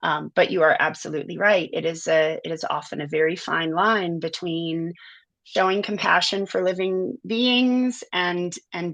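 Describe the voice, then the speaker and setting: A woman with a normal speaking voice and an American accent talks at a fairly low pitch and moderate pace, with ordinary pitch variation and a quiet background. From US South, inner city New Orleans. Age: 40s. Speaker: animal sanctuary director. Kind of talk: interview conversation.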